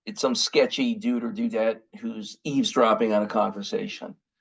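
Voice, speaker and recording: Fairly high in pitch, a man speaks with an American accent at a moderate pace. His voice makes very wide pitch swings. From United States. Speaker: communications consultant and speaker. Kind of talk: webinar presentation. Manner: conversational with frequent fillers and restarts.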